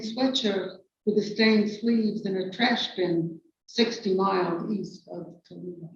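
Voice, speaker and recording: With a New York accent, a woman speaks at a moderate pace with ordinary pitch variation. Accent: noticeable New York. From New York City. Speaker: poet. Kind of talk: poetry reading.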